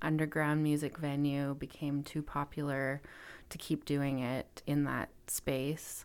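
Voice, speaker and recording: A woman speaks in a Western Canadian accent with a very deep, low pitch. Her intonation is monotone and flat. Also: very clean recording, silent background. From Canada, interior of British Columbia (Kelowna). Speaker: music venue owner. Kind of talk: interview conversation.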